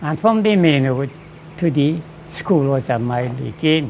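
Music plays behind a man speaking at a fairly slow pace. His intonation is lively. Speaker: coconut oil vendor. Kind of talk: interview answer. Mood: reminiscing about his past.

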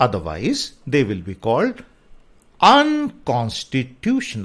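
A man speaks against a quiet background, his pitch swinging very widely. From India. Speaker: English teacher. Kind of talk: lecture. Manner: slow.

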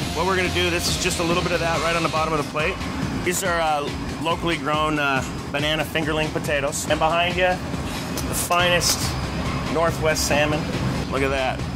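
Fairly quick male speech set against background music. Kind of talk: interview answer. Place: kitchen.

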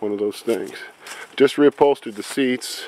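A man talks at a moderate pace with ordinary pitch variation, in a dry sound with no echo over light background noise. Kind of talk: casual vlog chat. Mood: enthusiastic, proud. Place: open country. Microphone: phone near.

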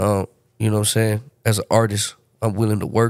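The sound is dry and close, with no echo. Delivery comes at a moderate pace. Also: man. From Baltimore, Maryland; moved to San Antonio at 13. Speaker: rapper. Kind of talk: casual chat.

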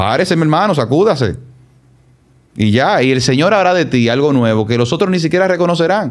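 Vocal fry from a man with a fairly high pitch for a man, at a moderate pace against a quiet background. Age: 40s. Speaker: consultant and politician; podcast guest. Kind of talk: personal testimony interview. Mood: reflective, earnest. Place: studio. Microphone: studio mic.

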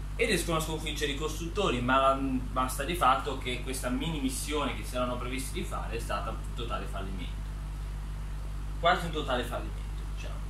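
Against noticeable background noise, a man talks at a very fast pace, leaving long, frequent pauses. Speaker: author presenting his book characters. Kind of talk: casual talk to camera, storytelling about his book characters. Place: home room. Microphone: phone near.

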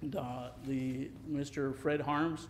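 Over light background noise, a man talks in a flat, monotone way. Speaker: council presenter. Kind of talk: presentation to council. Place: hall. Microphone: podium.

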